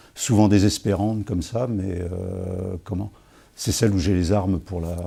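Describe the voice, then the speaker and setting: Very deep, low male voice, dark and mellow in tone and somewhat breathy, at a fairly slow pace with fairly even intonation, on a very clean recording with a silent background. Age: 60s. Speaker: writer answering school interview questions. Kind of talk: interview answers. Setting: school visit. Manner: hesitant, many fillers and repetitions.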